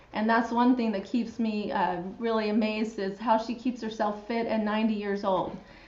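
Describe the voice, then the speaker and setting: A woman with an American accent, fairly high in pitch, at a moderate pace with monotone, flat intonation, hardly any pauses and audible room echo. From Utah. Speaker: physical therapist and show host. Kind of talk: live show interview.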